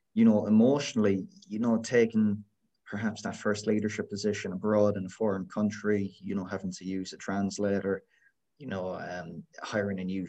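This man has a dark, mellow tone and monotone, flat intonation, with a west of Ireland accent. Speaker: podcast host. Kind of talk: casual interview.

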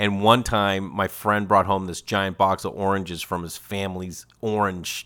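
In a very clean recording with a silent background, a man with a fairly low pitch talks at a moderate pace in a bright, sharp, animated tone. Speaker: podcast host and comedian. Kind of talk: casual chat.

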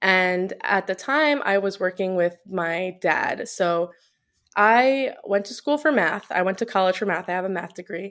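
A woman with an American accent has a normal speaking voice, talking at a fairly slow pace with a medium pitch and ordinary pitch variation. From New York, Long Island. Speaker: personal trainer. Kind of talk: casual interview.

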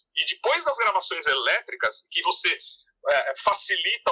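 A man speaks very slowly, the sound dry and close with no echo. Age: 50s. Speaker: music researcher and author. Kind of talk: interview.

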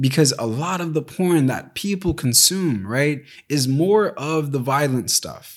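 A man with a plain, everyday voice, fairly high in pitch, with an American accent, a fairly slow pace, ordinary pitch variation, and a very clean recording against a silent background. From US. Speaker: podcast host. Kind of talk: solo podcast monologue.

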